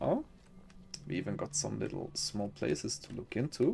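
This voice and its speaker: This speaker talks at a moderate pace with a non-native accent. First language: not English. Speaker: gaming streamer. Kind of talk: gameplay commentary. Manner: animated; halting.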